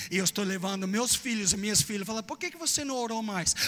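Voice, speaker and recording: A man talks with an English accent at a high pitch, using ordinary pitch variation. Noticeable background noise runs behind him. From Texas, US. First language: English (speaking Portuguese). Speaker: preacher. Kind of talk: sermon. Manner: animated; halting.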